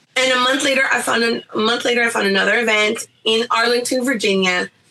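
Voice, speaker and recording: Noticeable background noise sits under a woman whose pitch is high. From US, Guatemalan-Nicaraguan-American family. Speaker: visual journalist and artist. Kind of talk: interview. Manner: loud; animated.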